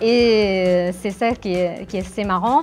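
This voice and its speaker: Over music in the background, a woman with an Italian accent speaks in a bubbly tone at a medium pitch, her intonation lively. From Naples, Italy. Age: 30s. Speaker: actress. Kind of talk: interview answer.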